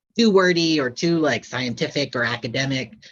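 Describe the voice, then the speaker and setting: With a bright, sharp tone and ordinary pitch variation, a man speaks at a fairly slow pace. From Upstate New York and New England. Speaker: author. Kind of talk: author Q&A. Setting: library event with live audience.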